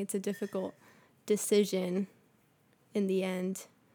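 A woman speaks at a moderate pace with monotone, flat intonation. The recording is very clean, with a silent background. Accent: American. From Bolivia, raised in the US. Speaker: graduate student. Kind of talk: casual interview.

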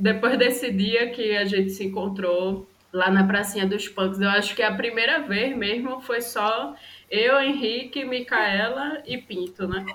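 Amid noticeable background noise and audible room echo, a woman talks at a fairly slow pace in a fairly high pitch. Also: ordinary pitch variation. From Brazil, Recife (Pernambuco). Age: 20s. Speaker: photographer and podcast co-host. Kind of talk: casual chat.

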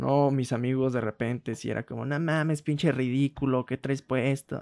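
A man with a fairly high voice speaks at a moderate pace in a flat monotone. The recording is very clean and dry, with a silent background and no echo. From rural Mexico. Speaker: podcast co-host. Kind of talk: casual chat.

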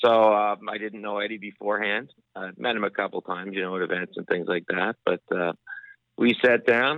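In an unremarkable speaking voice, a man talks fairly quickly at a fairly low pitch with ordinary pitch variation. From Nova Scotia, Canada. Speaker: sports broadcaster and author. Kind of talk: casual interview.

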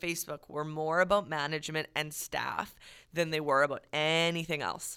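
In a very clean recording against a silent background, a woman talks at a moderate pace. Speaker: podcast co-host, service industry worker. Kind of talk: casual chat podcast. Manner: not soft-spoken, outgoing.

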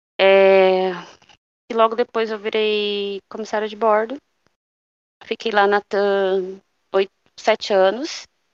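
A woman's medium-pitched voice, monotone and flat, at a very slow pace with long, frequent pauses, dry and close with no echo, over a quiet background. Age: 30s. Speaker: former flight attendant, mother. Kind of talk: casual interview chat. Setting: at home, remote call.

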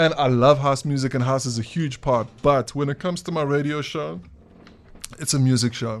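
At a moderate pace, a man talks in an unremarkable speaking voice, medium-pitched with ordinary pitch variation. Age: 30s. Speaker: DJ and record label owner. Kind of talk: casual chat.

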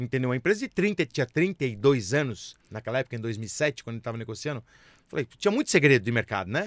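Hardly pausing, a man at a medium pitch speaks at a fairly quick pace with very wide pitch swings, captured in a dry, close sound with no echo on a very clean recording with a silent background. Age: 50s. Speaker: business executive and entrepreneur. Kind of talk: interview.

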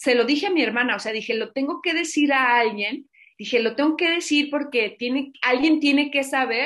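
A woman with a Mexican accent, lively intonation and a moderate pace. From Mexico, Zacatecas. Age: 50s. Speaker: entrepreneur and podcaster. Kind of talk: casual interview chat.

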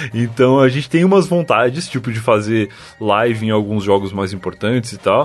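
A man talks at a moderate pace and medium pitch with lively intonation. Noticeable background noise is present. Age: 20s. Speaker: podcaster. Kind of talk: casual chat. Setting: remote call.

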